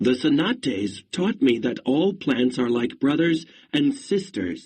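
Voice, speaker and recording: Using a put-on character voice, a man speaks at a fairly slow pace and a fairly high pitch with very wide pitch swings. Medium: read story.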